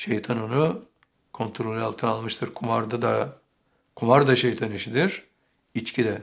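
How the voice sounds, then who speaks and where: A man talks at a fairly slow pace with a medium pitch and ordinary pitch variation. His voice carries vocal fry. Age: 70s. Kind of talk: sermon.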